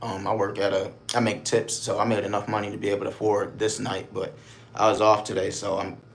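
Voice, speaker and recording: A man with an American accent, fairly low-pitched and somewhat breathy, at a fairly quick pace, with audible room echo. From Buffalo, New York, US. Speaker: live streamer. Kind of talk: casual live stream chat. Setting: motel room.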